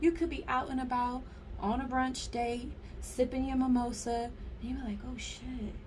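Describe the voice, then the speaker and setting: Audible room echo and noticeable background noise fill the recording. A woman speaks at a fairly slow pace. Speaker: tarot card reader. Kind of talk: pick-a-card tarot reading to viewers. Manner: casual, animated.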